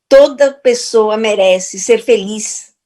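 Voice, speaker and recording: Speaking at a very slow pace, a woman keeps to a medium pitch. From Portugal. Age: 60s. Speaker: therapist and speaker. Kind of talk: motivational talk.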